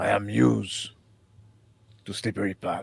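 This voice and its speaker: A man puts on a raspy character voice with a very deep, low pitch. He keeps a moderate pace. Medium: actual play. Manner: short, plain sentences.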